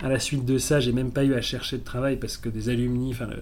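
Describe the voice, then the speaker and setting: Fairly quick speech with audible room echo. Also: man. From South Africa (French expatriate). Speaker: entrepreneur and university professor. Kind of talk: interview. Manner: calm.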